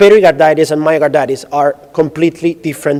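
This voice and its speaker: Over noticeable background noise, a man with an Italian accent talks very fast. His voice is fairly high and his intonation is fairly even. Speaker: radiologist. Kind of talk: lecture.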